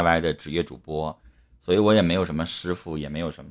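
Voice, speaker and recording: The man speaks with a very deep, low pitch and ordinary pitch variation. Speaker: live-stream host. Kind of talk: casual live-stream advice talk. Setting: online live stream. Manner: blunt, talkative.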